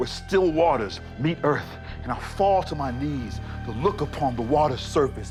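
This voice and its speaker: A man's fairly high voice at a fairly slow pace, full of very wide pitch swings, with music in the background. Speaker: spoken word poet. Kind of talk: spoken word poetry performance. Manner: rhythmic, emphatic.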